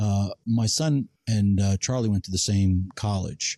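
Against a quiet background, a man speaks at a fairly low pitch in a dark, mellow tone. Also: dry, close sound with no echo. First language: not English. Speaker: cigar podcast co-host. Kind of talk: casual chat.

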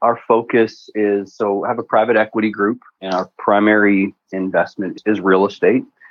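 At a moderate pace, a man with a Canadian accent speaks at a fairly low pitch in a monotone, flat way. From Alberta, Canada (near Edmonton). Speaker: real estate investor. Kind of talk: interview.

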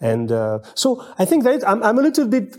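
A man with a French accent and a dark, mellow tone. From France. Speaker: menswear writer and video host. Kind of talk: casual chat. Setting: at the hosts' home. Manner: halting.

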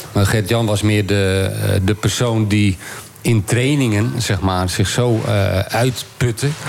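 A man speaks very slowly at fairly low pitch, with ordinary pitch variation and very even loudness. Noticeable background noise can be heard. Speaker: former pro cyclist. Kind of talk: casual chat.

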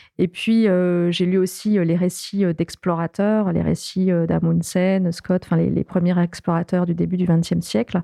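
A dark, mellow tone carries fairly even intonation at a fairly slow pace. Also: woman, dry, close sound with no echo. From southern France, Toulouse suburbs. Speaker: extreme sports athlete and polar explorer. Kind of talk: interview. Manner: halting.

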